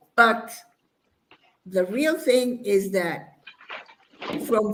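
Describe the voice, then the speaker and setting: A woman talks at a very slow pace. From Mexico. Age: 60s. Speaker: bodybuilder. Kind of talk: interview. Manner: halting.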